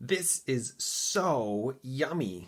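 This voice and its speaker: A man puts on a character voice. He keeps it at a medium pitch. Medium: read story.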